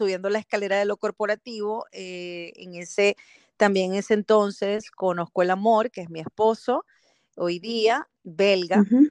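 Against a quiet background, with a dry, close sound and no echo, a woman talks fairly slowly at medium pitch, using an unremarkable speaking voice and fairly even intonation. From Venezuela, Caracas. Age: 40s. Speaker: marketing professional and speaker. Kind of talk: interview.

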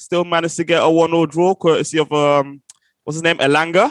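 A man talks at a fairly quick pace and a fairly high pitch. The sound is dry and close with no echo. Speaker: podcast host. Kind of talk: casual football chat. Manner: animated, informal.

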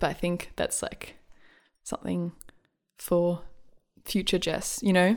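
A fairly slow pace with long, frequent pauses and fairly even intonation. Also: woman, fairly low pitch for a woman, very clean recording, silent background. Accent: Australian. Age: 20s. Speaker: musician and writer. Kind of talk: casual chat.

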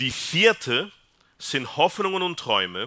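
Heard on a very clean recording with a silent background, this man's tone is bright and sharp. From Peru. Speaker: psychiatrist. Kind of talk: talk to a church family audience. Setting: hall with live audience.

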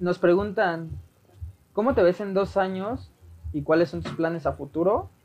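A man with a Mexican accent speaks in a high pitch. He goes fairly slowly, with long, frequent pauses. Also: ordinary pitch variation. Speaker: podcast host. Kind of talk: casual interview.

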